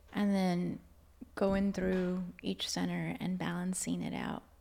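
A soft-spoken woman with a dark, mellow tone. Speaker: Reiki practitioner and Akashic Records channel. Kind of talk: casual interview chat.

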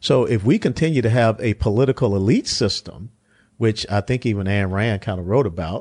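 A man speaks at a fairly quick pace in a plain, everyday voice, pitched fairly low, with ordinary pitch variation. The sound is dry and close with no echo, over a quiet background. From US South. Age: 60s. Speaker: politician and retired army officer. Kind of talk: political discussion.

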